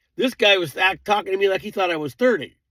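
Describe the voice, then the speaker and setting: Over a silent background in a very clean recording, a man talks at a high pitch. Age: 70s. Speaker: vlogger. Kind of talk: casual monologue. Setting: at home. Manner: rambling conversational.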